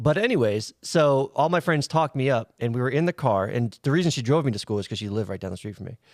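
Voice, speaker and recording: A man speaks at a very fast pace with hardly any pauses and lively intonation. The recording is very clean, with a silent background. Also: medium pitch for a man, dry, close sound with no echo. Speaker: podcast host. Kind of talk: casual chat. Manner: stutters when excited.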